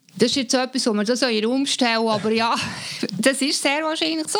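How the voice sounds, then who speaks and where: A woman speaks with a Swiss accent and ordinary pitch variation. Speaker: artist and communication expert. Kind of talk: casual chat.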